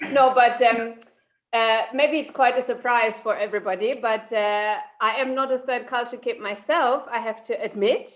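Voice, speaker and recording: With a German accent, a woman talks at a high pitch and a moderate pace. Her intonation stays fairly even. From Germany, Saarland. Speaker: psychologist. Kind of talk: interview.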